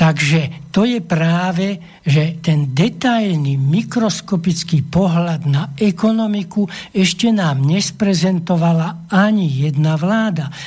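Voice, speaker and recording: A man's high-pitched voice at a very slow pace, with ordinary pitch variation and very even loudness. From Slovakia, Levice district. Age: old. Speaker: economics professor. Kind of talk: radio interview, explanatory. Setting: studio.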